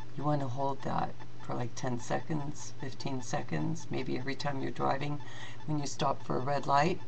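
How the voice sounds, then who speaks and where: Her very deep, low voice moves with lively intonation at a moderate pace. Noticeable background noise and audible room echo surround the woman's speech. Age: 60s. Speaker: fitness instructor. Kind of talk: tutorial. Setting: webcam video.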